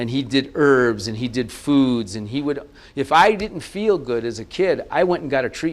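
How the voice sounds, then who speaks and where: This is a man with an unremarkable speaking voice at a medium pitch. He talks at a moderate pace against a quiet background. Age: 60s. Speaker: naturopathic health practitioner. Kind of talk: TV interview.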